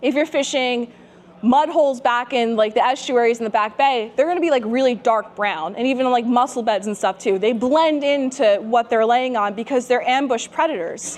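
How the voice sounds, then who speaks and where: Noticeable background noise sits behind a woman speaking at a moderate pace. Her pitch is high, with ordinary pitch variation. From New Jersey. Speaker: fishing instructor. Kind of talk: seminar lecture. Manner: casual, chatty.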